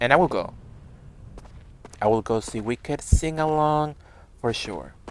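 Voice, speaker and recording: In a Spanish accent, the speaker goes along at a fairly slow pace. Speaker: game streamer. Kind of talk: casual live-stream chat. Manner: animated.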